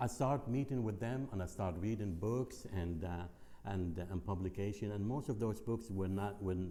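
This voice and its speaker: At a moderate pace, a man with a fairly low pitch and a dark, mellow tone keeps ordinary pitch variation and very even loudness. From Lebanon. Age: 60s. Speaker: guest speaker. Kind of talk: personal testimony talk. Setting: speaking to a group. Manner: halting, many fillers and repeats.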